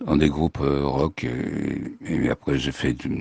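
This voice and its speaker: Here a man talks at a very slow pace. No echo is heard, and the sound stays dry and close. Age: 70s. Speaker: musician. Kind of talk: testimony. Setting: remote recording. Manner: halting.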